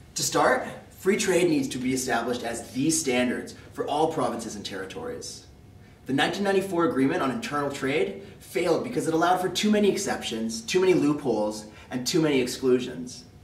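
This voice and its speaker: Over noticeable background noise, a man with a Western Canadian accent talks at a fairly quick pace, his fairly high pitch moving in very wide swings. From Calgary, Alberta, Canada. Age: 20s. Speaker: political contest entrant. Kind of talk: prepared policy speech to camera.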